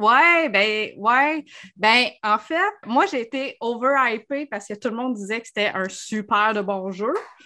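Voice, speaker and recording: At a very slow pace, a woman with a Quebec accent speaks in a bright, sharp tone with lively intonation, on a very clean recording with a silent background. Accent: Québécois French. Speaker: podcast co-host. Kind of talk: casual chat.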